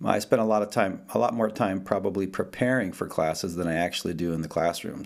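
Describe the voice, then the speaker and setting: Someone with an American accent speaks at a very fast pace. Pitch variation is ordinary. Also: man. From northern New Jersey. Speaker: jazz guitarist and music professor. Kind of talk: interview. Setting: video call.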